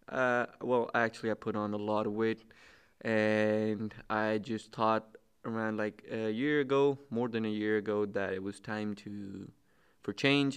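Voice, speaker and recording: Against a quiet background, a man with a fairly low pitch and fairly even intonation speaks in a normal speaking voice. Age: 20s. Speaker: student, fitness enthusiast. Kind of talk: casual chat.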